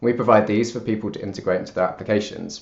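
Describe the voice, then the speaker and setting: A man with a British accent. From United Kingdom. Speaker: software engineer. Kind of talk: conference talk.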